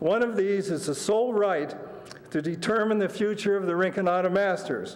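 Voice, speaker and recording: Noticeable noise sits behind the recording. A man talks in a high voice with ordinary pitch variation. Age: 60s. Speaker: public commenter, masters swimmer. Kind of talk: prepared public comment. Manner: formal.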